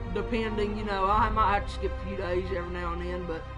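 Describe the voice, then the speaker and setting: A man's voice with clear music in the background. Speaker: game streamer. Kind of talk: casual stream chat reading comments. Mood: relaxed, upbeat.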